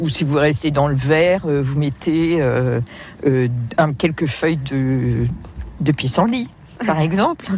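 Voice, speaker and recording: A woman with a very deep, low voice and ordinary pitch variation speaks very slowly, leaving long, frequent pauses. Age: 50s. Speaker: wild plant guide. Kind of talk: outdoor field interview. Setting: outdoors. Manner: hesitant, with many fillers.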